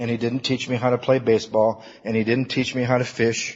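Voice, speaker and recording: A man speaks at a medium pitch with an American accent in a plain, everyday voice. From Michigan (Battle Creek). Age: 50s. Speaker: recovery workshop speaker. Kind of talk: recovery talk to an audience.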